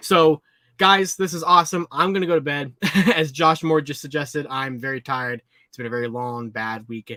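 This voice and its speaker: A man talks at a fairly quick pace in a fairly high pitch with ordinary variation. His tone is bright and sharp. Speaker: toy collecting livestream host. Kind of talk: live stream chat. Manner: casual, with many fillers.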